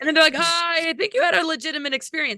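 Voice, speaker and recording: A woman's raised, projected voice with a bright, sharp tone, dry and close with no echo, on a very clean recording with a silent background. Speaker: astrologer and alternative researcher. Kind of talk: casual chat. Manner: fast.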